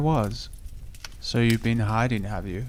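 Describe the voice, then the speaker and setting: Soft-spoken, with a calm, gentle tone, the voice moves at a moderate pace. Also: man. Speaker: narrator. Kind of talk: sleep story; audiobook reading.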